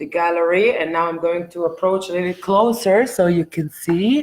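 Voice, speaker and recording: Her pitch varying in an ordinary way, a woman talks with an Israeli accent. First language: Hebrew. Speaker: artist. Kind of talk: live stream monologue. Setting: art gallery, live video stream. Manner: hesitant, many fillers.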